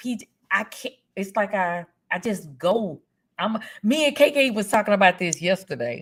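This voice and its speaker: The voice is somewhat breathy, in a Louisiana accent. Its pitch swings very widely. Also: woman. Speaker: streamer. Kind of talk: casual chat.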